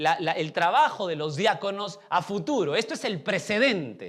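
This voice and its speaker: Here a man speaks. He keeps a moderate pace. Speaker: pastor. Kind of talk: sermon.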